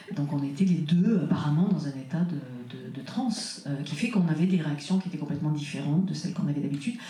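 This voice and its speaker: Over noticeable background noise and audible room echo, a woman talks with a very deep, low pitch and ordinary pitch variation. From France, childhood partly in Burkina Faso. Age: 60s. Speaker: author and trance researcher. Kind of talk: conference interview. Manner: halting, many hesitations.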